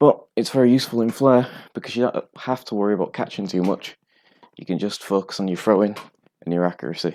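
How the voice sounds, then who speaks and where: A man with a strong northern English accent talks at a very fast pace in a fairly low pitch with a dark, mellow tone and ordinary pitch variation, in a very clean recording with a silent background. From northern England. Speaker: bartender streaming flair tutorials. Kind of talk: casual live-stream tutorial.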